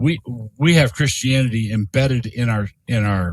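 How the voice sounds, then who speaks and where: A man with an American accent at a medium pitch, somewhat breathy, at a moderate pace, in a very clean recording with a silent background and a dry, close sound with no echo. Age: 60s. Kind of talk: podcast interview. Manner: halting with frequent repetitions.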